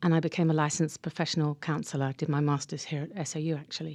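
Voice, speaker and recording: This woman has a very deep, low pitch. She speaks with an English accent. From England. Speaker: counselor and mindfulness teacher. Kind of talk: radio interview.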